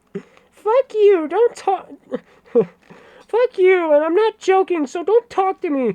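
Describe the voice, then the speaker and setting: A squeaky, extremely high-pitched put-on character voice at a very slow pace. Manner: mocking.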